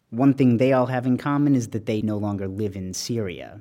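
An ordinary speaking voice from a man comes at a moderate pace with ordinary pitch variation, in a very clean recording with a silent background. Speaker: journalist. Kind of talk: reported narration.

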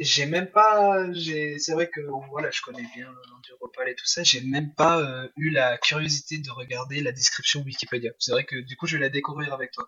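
A man with an unremarkable speaking voice talks at a moderate pace, barely pausing. His fairly high pitch varies in an ordinary way, while his loudness swings widely. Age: 20s. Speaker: semi-professional motocross rider. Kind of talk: interview.

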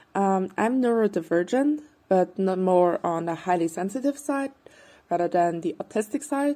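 Here a woman's voice has a dark, mellow tone and lively intonation. She speaks at a moderate pace. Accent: German. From Austria, Vienna. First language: German. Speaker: podcast listener. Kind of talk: recorded voice memo question. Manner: halting.

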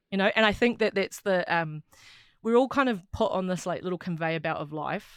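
Recorded very cleanly against a silent background, a woman with a New Zealand accent speaks at a medium pitch. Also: ordinary pitch variation, fairly quick pace. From New Zealand, Wellington. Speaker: rugby player and sports journalist. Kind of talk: casual chat. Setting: studio.

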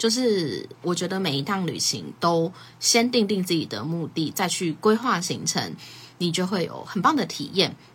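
A somewhat breathy woman speaks at a moderate pace, her fairly low pitch carried by lively intonation. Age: 20s. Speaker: podcast host. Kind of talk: casual solo talk on a livestream. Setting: social media livestream.

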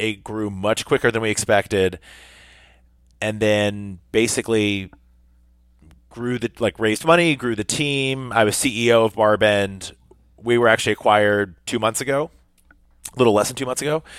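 Fairly low in pitch, a man with an American accent talks at a moderate pace with ordinary pitch variation and long, frequent pauses. The sound is dry and close with no echo. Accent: general American, Kentucky accent dropped. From US South. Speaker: fitness media founder. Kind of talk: podcast interview. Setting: video call.

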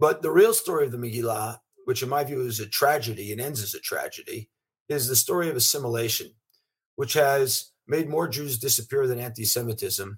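Breathiness runs somewhat through this man's voice. He sits at a medium pitch. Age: 50s. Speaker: venture capitalist. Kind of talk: interview.

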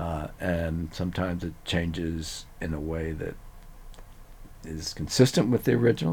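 This man's very deep, low voice has a dark, mellow tone and vocal fry. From Louisiana, Cajun country (Eunice). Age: 70s. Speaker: neuroscientist. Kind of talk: casual interview.

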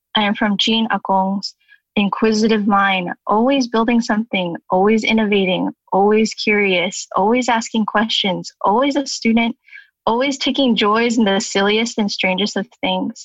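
A woman with a Californian accent speaks at a moderate pace in a fairly high, somewhat breathy voice. Her intonation stays fairly even and her loudness very even. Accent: Californian American. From Southern California. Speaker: graphic designer. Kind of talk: reading aloud a poem.

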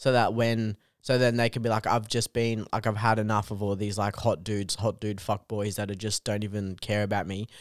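In a very clean recording with a silent background, a man talks with an Australian accent at a fairly quick pace. His fairly low voice is monotone and flat, with hardly any pauses. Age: 20s. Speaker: comedian. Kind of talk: casual chat.

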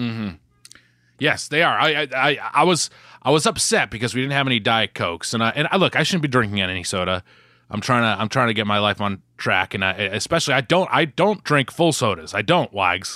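Recorded very cleanly with a silent background and a dry, close sound with no echo, a man with an American accent speaks at a fairly quick pace and medium pitch, his pitch swinging very widely. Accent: Boston accent, mostly when yelling. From Boston area, US. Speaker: podcast co-host. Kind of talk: casual chat. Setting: at home with his mother nearby.

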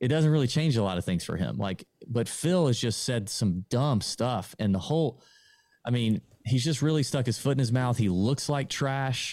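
A man with an American accent has an unremarkable speaking voice, medium pitch and ordinary pitch variation, speaking at a moderate pace in a very clean recording with a silent background. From US South, Augusta, Georgia. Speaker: golf podcaster. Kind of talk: casual interview.

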